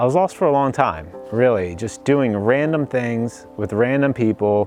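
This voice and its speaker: A man with an American accent against noticeable background noise. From US East Coast. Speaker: church member. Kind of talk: testimony. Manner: casual, filler-heavy.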